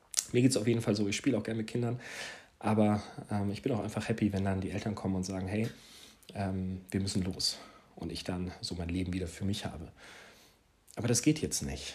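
Somewhat breathy speech at a fairly quick pace, broken by long, frequent pauses. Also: man, fairly low pitch for a man, ordinary pitch variation. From Hesse, Germany (Marburg). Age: 30s. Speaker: parenting podcaster. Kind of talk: casual monologue. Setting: home living room. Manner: hesitant, with filler words.

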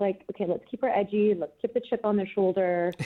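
A woman with an ordinary speaking voice talks at a fairly quick pace, her pitch in the medium range. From Canada. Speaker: actress. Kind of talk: interview.

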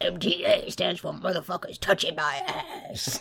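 A raspy, put-on character voice moves at a fairly slow pace over clear background noise. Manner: sinister, menacing.

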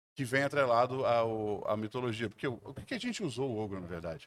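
This man talks at a very fast pace in an animated tone. His pitch is medium. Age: 50s. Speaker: food content creator, former designer. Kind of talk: casual chat.

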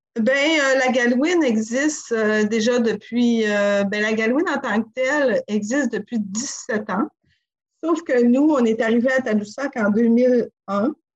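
A woman speaks at a very slow pace with very even loudness, her high pitch showing ordinary variation. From Quebec, Côte-Nord (Sacré-Cœur). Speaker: inn and restaurant co-owner. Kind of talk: interview. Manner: halting.

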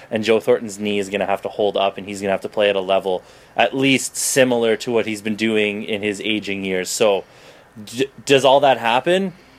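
With a Canadian accent and fairly even intonation, the speaker uses a plain, everyday voice. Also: man. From Toronto, Canada. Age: 20s. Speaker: podcast host and writer. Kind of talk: casual chat.

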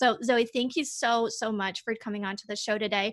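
A woman at a fairly quick pace, dry, close sound with no echo, quiet background. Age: 30s. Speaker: podcast host, online course designer. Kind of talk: podcast interview. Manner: enthusiastic.

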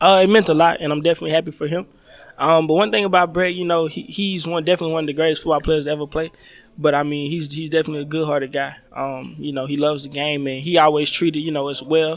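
A man in a Southern US accent, fairly high-pitched, very fast, with fairly even intonation. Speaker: college football safety. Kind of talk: casual interview.

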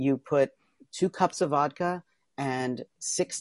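A man at medium pitch with an American accent, animated in tone, against a quiet background with a dry, close sound and no echo. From Pennsylvania, US. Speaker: trapeze artist and author. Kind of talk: casual interview chat. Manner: fast talker; animated, laughs often.

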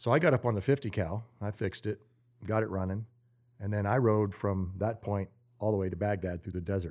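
Talking at a fairly quick pace against a quiet background, a man has an ordinary speaking voice, fairly low in pitch, with ordinary pitch variation. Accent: American. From Oklahoma. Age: 50s. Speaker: army medic and Green Beret veteran. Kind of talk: interview storytelling. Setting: cabin in Montana.

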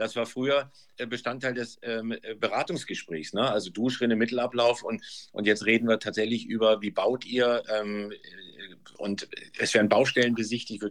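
A man talks at a medium pitch with fairly even intonation. His pace is moderate. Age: 50s. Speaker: real estate sales manager. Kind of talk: interview. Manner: halting, many fillers.

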